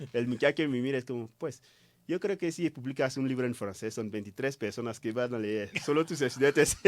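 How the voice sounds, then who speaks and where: On a very clean recording with a silent background, a man with a French accent talks at a fairly quick pace, his medium pitch varying in an ordinary way. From Ivory Coast. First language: French (speaking Spanish). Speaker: writer. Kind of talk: interview. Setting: radio studio. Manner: halting.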